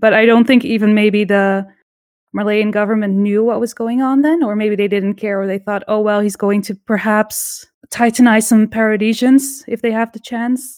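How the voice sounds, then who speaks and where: A woman uses an ordinary speaking voice, fairly high in pitch with fairly even intonation, at a moderate pace. The recording is very clean, with a silent background. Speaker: podcast co-host. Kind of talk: casual chat.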